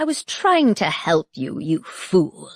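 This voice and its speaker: Growling through a put-on character voice, a woman speaks at a fairly slow pace. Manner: growling, irritated.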